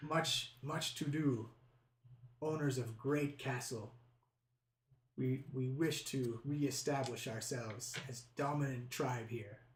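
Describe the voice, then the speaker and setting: A man puts on a character voice, moving at a fairly slow pace and leaving long, frequent pauses. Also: medium pitch for a man. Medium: actual play. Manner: broken English, clipped short phrases.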